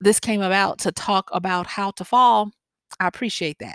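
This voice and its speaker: A woman speaks at a moderate pace with a Southern US accent. The recording is very clean, with a silent background. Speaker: podcast host and wisdom coach. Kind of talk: solo podcast monologue. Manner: conversational with frequent fillers.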